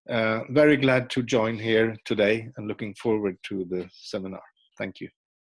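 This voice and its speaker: With a Swedish accent, a man speaks at a moderate pace and medium pitch with fairly even intonation, in a dry, close sound with no echo. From Sweden. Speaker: retired traffic safety director, professor. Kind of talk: panel introduction. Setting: video call. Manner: hesitant, many fillers.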